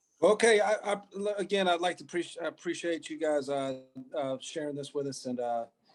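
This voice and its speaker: This man speaks with an American accent at a fairly quick pace. His pitch varies in an ordinary way. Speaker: appliance repair business owner. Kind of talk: casual chat. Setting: video call.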